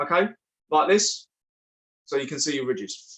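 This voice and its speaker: A man's high voice at a fairly quick pace. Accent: British. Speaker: online family craft show host. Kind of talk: craft tutorial. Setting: livestream.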